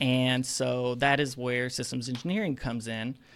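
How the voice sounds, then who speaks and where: This very clean recording, with a silent background, features a man with an Alabama accent. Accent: Southern US (Alabama). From North Alabama, US South. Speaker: aerospace engineer. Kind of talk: casual interview.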